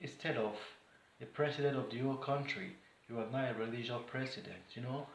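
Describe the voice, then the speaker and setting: A man speaks in a fairly high pitch with a somewhat breathy voice. The room echo is audible. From Nigeria. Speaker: vlogger. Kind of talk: political commentary monologue. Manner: animated.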